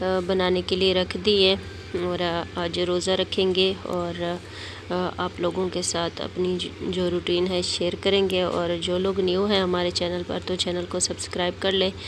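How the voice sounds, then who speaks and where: A woman speaks in a monotone, flat intonation, with noticeable background noise around her. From Pakistan. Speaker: vlogger. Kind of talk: casual vlog narration. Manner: hesitant with many fillers.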